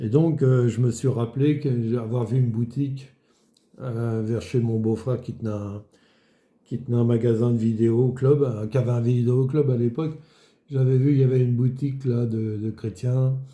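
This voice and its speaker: Somewhat breathy and dark, mellow in tone, a man's medium-pitched voice moves at a moderate pace with monotone, flat intonation. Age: 70s. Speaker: retired market gardener giving faith testimony. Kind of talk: testimony. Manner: halting, many fillers.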